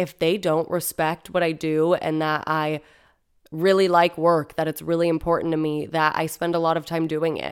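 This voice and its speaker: A woman with a fairly low pitch and a normal speaking voice talks at a moderate pace. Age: 20s. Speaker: podcast host. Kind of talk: solo monologue. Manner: casual.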